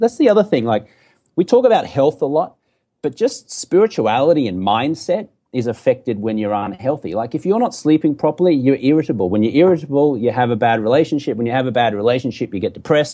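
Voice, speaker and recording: Talking at a very fast pace with an Australian accent, a man at a medium pitch makes very wide pitch swings. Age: 40s. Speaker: entrepreneur and former TV sports anchor. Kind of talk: casual interview conversation.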